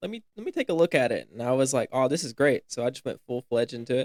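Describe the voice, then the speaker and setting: Speech comes at a very fast pace with a Southern US accent, with a dry, close sound with no echo in a very clean recording with a silent background. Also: man. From US South (upstate South Carolina). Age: young (19). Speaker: college student, fashion stylist. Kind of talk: casual podcast chat.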